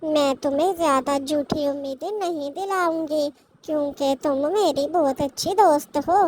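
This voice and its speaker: A cartoonish character voice that sounds female, high-pitched, talks at a fairly slow pace with hardly any pauses. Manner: chatty, direct.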